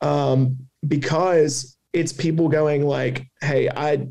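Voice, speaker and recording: A man with a fairly high pitch, a somewhat breathy, dark, mellow tone, flat monotone intonation, and a Southern US accent. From US South. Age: 20s. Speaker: cancer survivor and advocate. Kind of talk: interview testimony.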